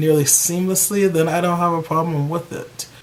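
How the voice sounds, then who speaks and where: This is a man talking. His pitch is fairly high. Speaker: YouTube hair care vlogger. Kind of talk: casual vlog talk to camera. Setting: at home with a bag over his hair. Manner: loud.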